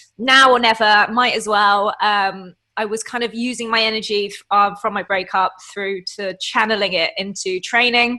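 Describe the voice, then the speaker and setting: At a moderate pace, a woman with an English accent speaks at a fairly high pitch with fairly even intonation. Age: 30s. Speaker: online fitness coach and bodybuilder. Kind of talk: casual interview chat.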